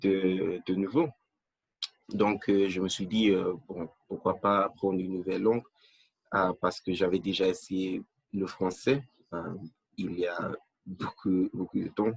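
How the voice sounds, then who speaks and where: A man with a very deep, low pitch speaks very slowly with fairly even intonation, recorded dry and close with no echo. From Nigeria. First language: not French (English-speaking country) (speaking French). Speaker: language learner. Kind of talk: interview. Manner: halting, many fillers.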